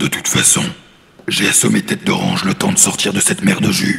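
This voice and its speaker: Rumbling in a put-on character voice, a man speaks at a fairly quick pace. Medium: read story. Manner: gruff, no-nonsense.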